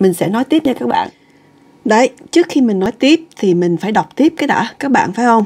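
Moving through very wide pitch swings, a woman with a fairly high pitch speaks at a moderate pace. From Vietnam. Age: 50s. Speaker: podcast host. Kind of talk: casual podcast chat, partly reading an article. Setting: at home. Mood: relaxed, chatty. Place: home room. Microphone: webcam.

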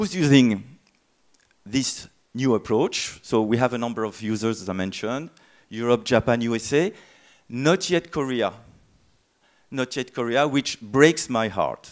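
With a French accent, a man speaks at a fairly slow pace with ordinary pitch variation. Long, frequent pauses break his speech against a quiet background. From France. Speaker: software tool company presenter; conference presenter. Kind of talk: conference talk. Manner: hesitant, many fillers. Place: hall. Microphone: handheld.

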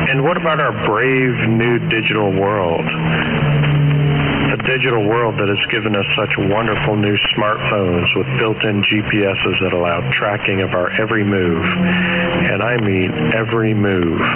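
Over background music, a man speaks at a fairly slow pace and fairly low pitch. His pitch swings very widely while his loudness stays very even. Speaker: pirate radio host. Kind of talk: radio commentary monologue. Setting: shortwave radio reception.

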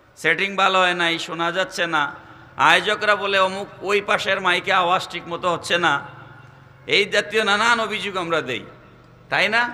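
A man's high-pitched, raised and projected voice with fairly even intonation. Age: 40s. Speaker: Islamic preacher. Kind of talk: sermon. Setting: outdoor religious gathering over PA system. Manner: loud.

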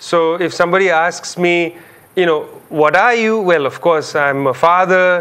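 Fairly even intonation marks this man's high-pitched voice. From India, Calcutta. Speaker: public intellectual, author. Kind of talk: interview. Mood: reflective, engaged. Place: studio. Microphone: lapel.

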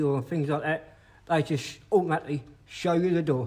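Here a man with a slightly mellow tone and fairly high pitch talks at a moderate pace with ordinary pitch variation.

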